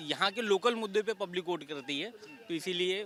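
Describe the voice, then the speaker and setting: A man's high-pitched, raised, projected voice over music in the background. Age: young. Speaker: park visitor. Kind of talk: street interview. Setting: outdoors.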